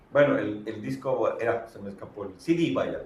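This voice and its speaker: Over noticeable background noise, a man speaks at a fairly slow pace. His pitch sits in the medium range. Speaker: radio announcer. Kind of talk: interview answer.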